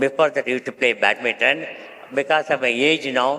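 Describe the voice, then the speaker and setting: A man with a medium-pitched voice speaks over noticeable background noise. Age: 80s+. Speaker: honorary consul and industrialist. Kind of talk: panel discussion. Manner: halting.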